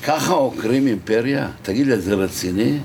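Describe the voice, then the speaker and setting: Against noticeable background noise, a man speaks in an animated tone with lively intonation. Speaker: orientalist scholar. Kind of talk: interview, heated debate. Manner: animated, argumentative.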